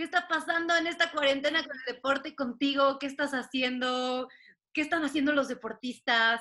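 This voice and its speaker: A woman projects a raised voice with a high pitch and a bright, sharp tone. She keeps a moderate pace and fairly even intonation. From Mexico, Puebla. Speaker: podcast host. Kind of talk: casual chat.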